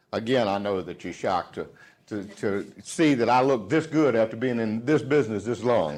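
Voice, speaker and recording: With a Southern US accent, a man talks at a moderate pace with lively intonation. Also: medium pitch for a man. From US South. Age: 50s. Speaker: sales trainer. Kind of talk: motivational speech. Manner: animated.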